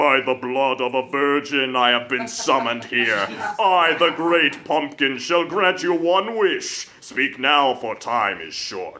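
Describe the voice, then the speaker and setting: At a fairly slow pace, a man talks in a put-on character voice. The act lands at a fairly high pitch. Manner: echoing, commanding.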